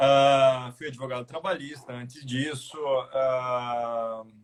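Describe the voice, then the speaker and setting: A man's somewhat breathy medium-pitched voice with a Paraná accent. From Curitiba, Paraná, southern Brazil. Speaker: labor judge and law lecturer, guest. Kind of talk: live video discussion. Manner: hesitant, repeats words.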